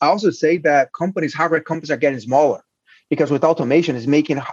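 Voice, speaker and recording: In a Portuguese accent, a man speaks very fast at a fairly high pitch with ordinary pitch variation and a dry, close sound that has no echo. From Brazil. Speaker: hardware incubator founder and CEO. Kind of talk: interview. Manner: halting.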